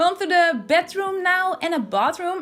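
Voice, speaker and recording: A fairly slow pace with a Dutch accent. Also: woman. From Netherlands. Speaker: video game builder YouTuber. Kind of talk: voiceover commentary.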